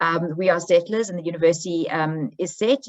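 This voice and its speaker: With a South African accent, a woman speaks with ordinary pitch variation. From South Africa, Johannesburg. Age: 40s. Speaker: history professor. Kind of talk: academic presentation.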